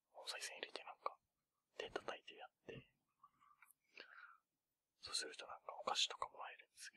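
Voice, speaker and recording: Whispering at a fairly quick pace, a man leaves long, frequent pauses, with big swings in loudness and a dry, close sound with no echo. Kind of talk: ASMR whispered chat; casual chat about New Year's temple visits. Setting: binaural stereo microphone recording. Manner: whispered, soft-spoken.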